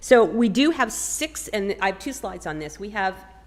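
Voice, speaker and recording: With lively intonation and a fairly high pitch, a woman talks over noticeable background noise. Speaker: state agency presenter. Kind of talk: public presentation. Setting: city hall meeting room.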